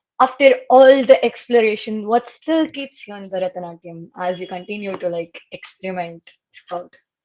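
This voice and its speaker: Speaking with a Kannada accent, a woman uses lively intonation at a medium pitch and a moderate pace, with big swings in loudness. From Karnataka, Mysore. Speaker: student interviewer. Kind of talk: interview. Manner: halting.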